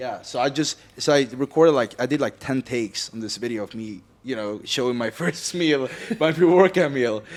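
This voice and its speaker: At a moderate pace, the speaker talks with a Swedish accent and ordinary pitch variation. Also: man, medium pitch for a man. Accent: non-native English, Swedish. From Sweden. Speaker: podcast co-host, fitness content creator. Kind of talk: podcast conversation.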